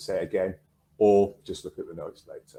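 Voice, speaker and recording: A man with a northern English accent. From northern England. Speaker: counsellor and trainer. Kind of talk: online workshop presentation.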